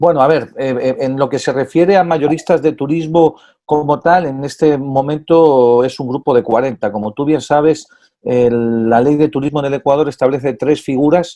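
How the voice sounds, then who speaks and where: This man, in a Spanish accent, has a fairly high pitch, a dark, mellow tone, ordinary pitch variation and a moderate pace. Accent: Spanish (Spain). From Spain. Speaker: tourism business association president. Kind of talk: interview. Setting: at home.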